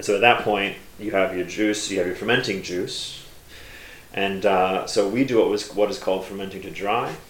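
A man with fairly low pitch and monotone, flat intonation speaks at a moderate pace with big swings in loudness, amid noticeable background noise and audible room echo. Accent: American. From United States. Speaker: cider maker. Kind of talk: casual interview. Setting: under railway arches, trains passing.

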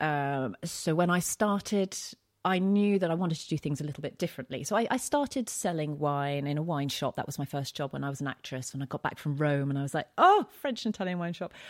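Very fast speech with a London accent, in a dry, close sound with no echo. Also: woman, very deep, low pitch for a woman, lively intonation, very clean recording, silent background. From East London, England. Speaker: wine writer and TV presenter. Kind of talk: casual interview.

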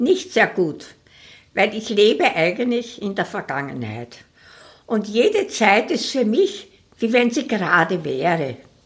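Very slowly and with vocal fry, a woman speaks at a fairly high pitch, making very wide pitch swings. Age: 80s+. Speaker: retired singer. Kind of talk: interview. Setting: home dining room.

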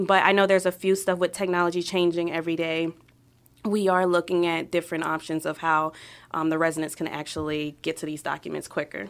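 Over a silent background in a very clean recording, a woman with an American accent speaks very fast at a fairly low pitch with fairly even intonation. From New York City, Brooklyn. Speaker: city clerk of council. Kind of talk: casual interview. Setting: podcast studio. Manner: hesitant, many ums.

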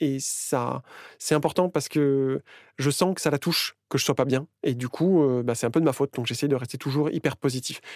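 A plain, everyday voice from a man, fairly high-pitched, at a moderate pace with fairly even intonation, in a very clean recording with a silent background and a dry, close sound with no echo. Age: 40s. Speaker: interviewee sharing personal story. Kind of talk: personal testimony.

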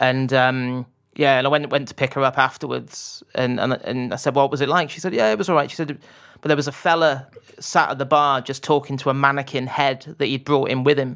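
A man with a slight West Country accent, fairly high pitch, fairly even intonation and a fairly quick pace. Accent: southwest English (West Country), slight. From Bath, southwest England. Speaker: football journalist. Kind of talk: casual interview chat. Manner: hesitant, many fillers and restarts.

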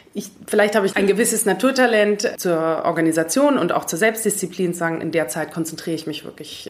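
A woman talks at a fairly quick pace with hardly any pauses over noticeable background noise. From Germany, Munich. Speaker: coach and corporate manager. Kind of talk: interview.

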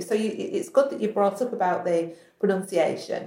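A woman at a fairly quick pace, in a northern English accent. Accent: northern English, flat vowels. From northern England. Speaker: podcast host. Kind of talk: casual interview chat.

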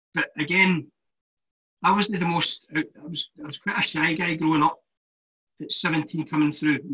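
This man has a Glaswegian accent. His voice is fairly high, with a bright, sharp tone. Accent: Glaswegian Scottish. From Scotland, Glasgow. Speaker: former professional footballer. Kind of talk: casual chat.

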